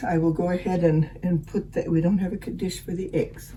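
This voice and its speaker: Over noticeable background noise, a woman speaks with fairly low pitch and fairly even intonation. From Finnish background. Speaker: home cook. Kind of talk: cooking demonstration. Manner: halting.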